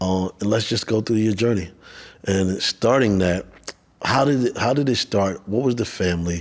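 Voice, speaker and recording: Here is a man with an ordinary speaking voice and an American accent, pitched fairly low. He keeps a moderate pace and very even loudness. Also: ordinary pitch variation. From New York, Bronx and Queens. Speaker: podcast host. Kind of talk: interview.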